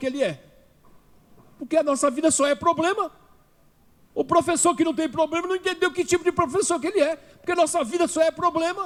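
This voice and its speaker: Speaking at a fairly quick pace, a man uses an extremely high pitch with ordinary pitch variation. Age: 70s. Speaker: philosophy teacher and activist. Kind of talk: political speech at a seminar. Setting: legislative assembly seminar. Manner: impassioned, rhetorical.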